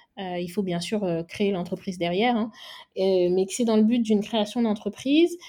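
A woman's medium-pitched voice with a dark, mellow tone, ordinary pitch variation and a moderate pace against a quiet background. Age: 20s. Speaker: make-up artist. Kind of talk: interview.

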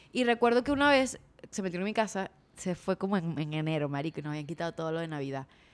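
Her intonation is lively. The woman speaks at a very fast pace. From Venezuela, Maracaibo. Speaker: podcast host. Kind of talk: casual chat.

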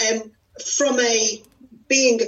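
A woman talks at a very slow pace in a fairly high pitch. Music plays in the background. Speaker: coach. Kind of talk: interview. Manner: enthusiastic.

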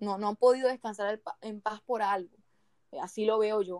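A plain, everyday voice with fairly even intonation at a moderate pace, in a dry, close sound with no echo. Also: woman. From Barranquilla, Colombian Caribbean coast. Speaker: podcast co-host. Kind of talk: casual chat with storytelling.

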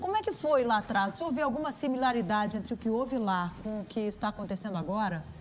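A woman speaks at a very fast pace with a fairly high pitch and lively intonation. There is noticeable background noise. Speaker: journalist interviewer. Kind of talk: political interview. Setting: video call.

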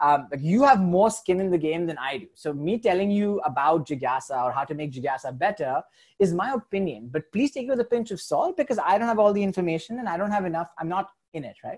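Swinging very widely in pitch and sharply in loudness, a man speaks in a high register. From India. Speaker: social impact entrepreneur. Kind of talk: casual interview chat.

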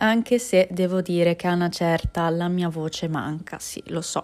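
The recording is very clean, and the background is silent. She speaks at a moderate pace. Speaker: podcast host. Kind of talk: casual monologue. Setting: home, kitchen background noise.

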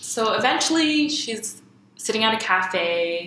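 A woman's speech, showing ordinary pitch variation, carries audible room echo amid noticeable background noise. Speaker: podcast co-host. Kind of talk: casual chat.

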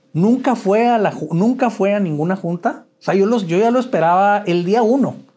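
At a moderate pace with hardly any pauses, a man speaks in a high pitch, with a dark, mellow tone and ordinary pitch variation. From Mexico, Chihuahua. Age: 50s. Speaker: author sharing recovery story. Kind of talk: interview testimony. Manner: halting, many repetitions.

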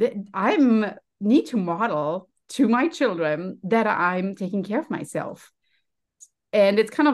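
Speaking with a German accent, a woman keeps a medium pitch. Her pace is fairly slow. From Germany. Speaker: health and happiness coach. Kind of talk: casual interview.

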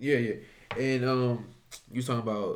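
Audible room echo surrounds a man talking at a moderate pace. His intonation stays fairly even. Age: 20s. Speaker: sports podcast host. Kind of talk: casual interview.

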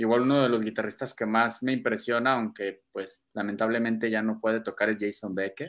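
Bright and sharp in tone, a man at medium pitch talks at a fairly quick pace on a very clean recording with a silent background. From Mexico, Guadalajara. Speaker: metal guitarist. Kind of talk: casual interview chat.

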